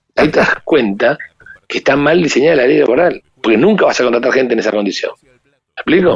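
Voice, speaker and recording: Speaking very fast, a man in a Rioplatense accent sounds animated. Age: 50s. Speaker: business owner and economist. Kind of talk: interview. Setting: phone call.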